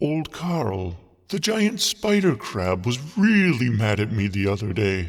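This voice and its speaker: A man puts on a character voice at a medium pitch, delivering it at a fairly slow pace. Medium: audio drama. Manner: gentle, polite.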